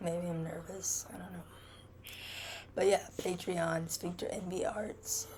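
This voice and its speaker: Long, frequent pauses break up the speech. Noticeable noise sits in the background. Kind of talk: casual vlog narration over painting timelapse. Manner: halting, many fillers.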